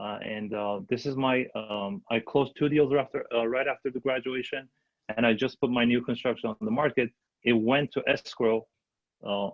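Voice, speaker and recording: A man speaks at a medium pitch. His pitch varies in an ordinary way and his pace is fairly quick. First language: not English. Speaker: new real estate agent and investor. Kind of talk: panel discussion. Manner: halting, many fillers.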